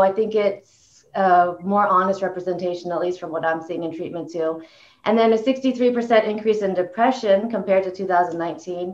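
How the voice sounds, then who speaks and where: A woman's voice at a moderate pace with ordinary pitch variation. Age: 40s. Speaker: clinical director and panel moderator. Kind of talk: moderated panel discussion. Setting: video call. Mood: calm, conversational. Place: office. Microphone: video call.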